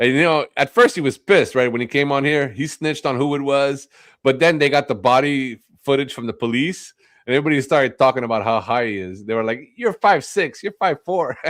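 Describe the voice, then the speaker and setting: Using a non-native accent, a man talks at a fairly quick pace and medium pitch with ordinary pitch variation. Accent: has an accent, immigrant. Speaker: live streamer. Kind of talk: heated argument on a stream; casual chat. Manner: angry and loud.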